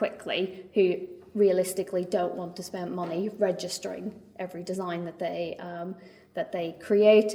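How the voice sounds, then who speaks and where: Over noticeable background noise and audible room echo, a woman of medium pitch speaks at a moderate pace with monotone, flat intonation in a Northern Irish accent. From Northern Ireland. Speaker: trade mark attorney. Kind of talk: lecture. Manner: hesitant, many fillers and repetitions.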